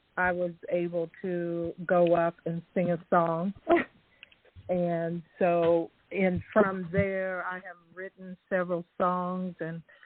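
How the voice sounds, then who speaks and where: In an American accent, the speaker talks at a very slow pace, monotone and flat in intonation but with big swings in loudness. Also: woman. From Indiana. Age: 60s. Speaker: caller. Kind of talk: call-in tribute. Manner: halting.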